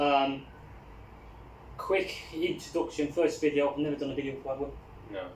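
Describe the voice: This man talks at a moderate pace with a medium pitch and fairly even intonation. Audible room echo surrounds his voice.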